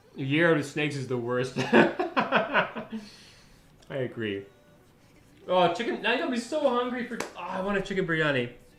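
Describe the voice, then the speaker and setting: In a Canadian accent, a man with a high voice talks at a moderate pace in an animated tone, his pitch swinging very widely, with audible room echo and noticeable background noise. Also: long, frequent pauses. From Canada. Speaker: software developer live streamer. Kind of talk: live coding stream chat. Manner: casual, animated.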